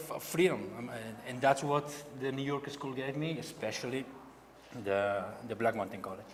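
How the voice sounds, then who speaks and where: With a Catalan accent, a man speaks at medium pitch with ordinary pitch variation and big swings in loudness. He leaves long, frequent pauses over noticeable background noise. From Spain, Barcelona. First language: Spanish or Catalan. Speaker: painter. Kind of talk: artist talk. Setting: gallery event with audience. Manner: halting.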